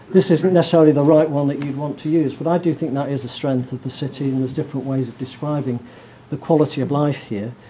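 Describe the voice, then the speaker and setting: Speaking very fast, a man has a fairly high pitch and fairly even intonation. Noticeable background noise is present. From northern England. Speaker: professor. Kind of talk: lecture.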